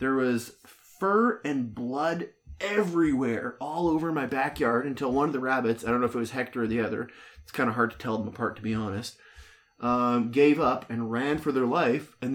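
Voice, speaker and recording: This is an ordinary speaking voice from a man at a medium pitch. He keeps a moderate pace with ordinary pitch variation. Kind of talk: casual chat. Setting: home basement.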